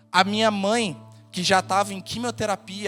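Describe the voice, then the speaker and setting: A man with a high pitch at a moderate pace, with music in the background. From Rio de Janeiro state, Brazil (Nova Friburgo). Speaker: pastor. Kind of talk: sermon. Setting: church.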